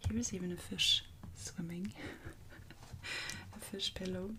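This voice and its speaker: A soft-spoken woman talks at a moderate pace. Her tone is calm. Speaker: coloring artist and ASMR creator. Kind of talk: calm ASMR talk to camera. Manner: calm, soft-spoken.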